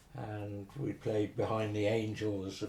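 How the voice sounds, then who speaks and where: Somewhat breathy and fairly low, a man with a Herefordshire accent speaks very slowly. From Herefordshire, England. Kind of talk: oral history interview answer.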